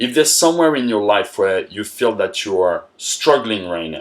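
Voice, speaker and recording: A man speaks with a French accent in a very clean recording with a silent background. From France. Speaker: motivational coach. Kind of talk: motivational talk.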